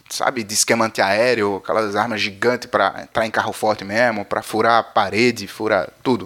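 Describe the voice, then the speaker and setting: At a moderate pace, a man talks at a medium pitch. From Paraíba, northeastern Brazil. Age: 30s. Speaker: podcast host. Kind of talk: news podcast, casual monologue. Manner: animated.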